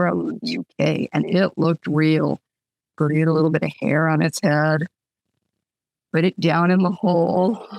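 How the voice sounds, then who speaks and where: The woman's voice sits fairly low and shows vocal fry. The sound is dry and close, with no echo. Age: 60s. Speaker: author. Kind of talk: casual chat.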